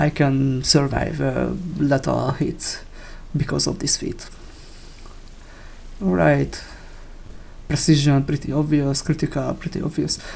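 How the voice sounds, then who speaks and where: Speaking with a non-native accent, a man talks at a fairly slow pace with long, frequent pauses. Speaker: video game player. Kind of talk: game build tutorial talk. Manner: casual, hesitant.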